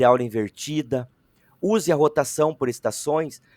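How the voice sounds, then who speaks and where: This man has a normal speaking voice, fairly high in pitch, at a moderate pace with a dry, close sound and no echo. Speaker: teacher trainer. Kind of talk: online training session.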